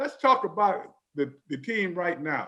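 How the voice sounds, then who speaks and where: The man's intonation is lively. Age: 70s. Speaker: TV sports show host, former pro football player. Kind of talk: sports talk show.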